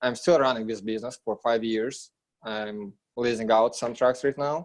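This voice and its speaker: The recording is very clean, with a silent background. A man with a non-native accent speaks with fairly even intonation. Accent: foreign. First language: not English. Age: 20s. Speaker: real estate investor, trucking business owner. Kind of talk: interview.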